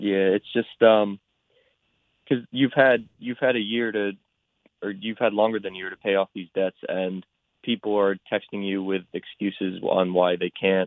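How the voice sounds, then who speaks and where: This man has a normal speaking voice at a fairly low pitch. He keeps a moderate pace and fairly even intonation. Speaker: college student. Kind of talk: radio interview.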